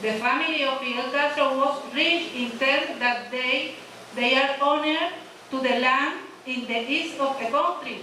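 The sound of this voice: A woman speaks at a fairly slow pace in a high, bright and sharp voice with ordinary pitch variation, and audible room echo surrounds her.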